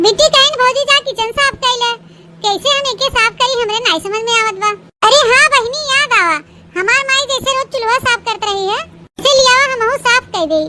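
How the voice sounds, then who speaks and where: A cartoonish character voice at a moderate pace with ordinary pitch variation. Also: woman, extremely high pitch for a woman. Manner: simple, earnest.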